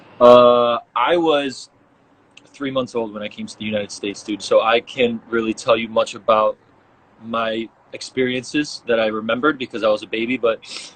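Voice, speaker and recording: Using fairly even intonation, a man with a Chicago accent talks at a moderate pace and medium pitch, with big swings in loudness. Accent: Chicago American English. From US Midwest, Chicago. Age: 20s. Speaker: professional soccer player. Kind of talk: casual interview chat.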